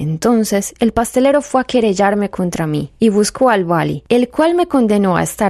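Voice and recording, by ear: Lively intonation while reading aloud in a natural voice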